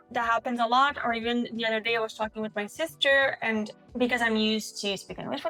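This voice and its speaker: Against music in the background, a woman with a Quebec accent and a fairly high pitch speaks with fairly even intonation. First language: French. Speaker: couple vlogger. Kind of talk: casual Q&A chat.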